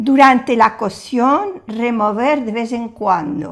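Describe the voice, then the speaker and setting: A woman talks very slowly at a fairly high pitch. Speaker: French teacher. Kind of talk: cooking language lesson to camera. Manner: warm, friendly.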